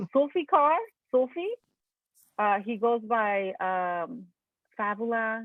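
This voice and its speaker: A woman speaks with a Mexican accent in a fairly high voice. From Mexico. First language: Spanish. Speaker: alumni group host, artist. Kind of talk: casual chat. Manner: animated.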